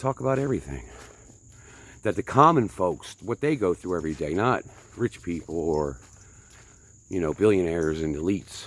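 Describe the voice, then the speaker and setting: In a northern US accent, a man with a very deep, low pitch speaks at a moderate pace, his pitch swinging very widely between long, frequent pauses. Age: 50s. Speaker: vlogger. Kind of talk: casual vlog monologue while hiking. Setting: outdoors on hiking trail.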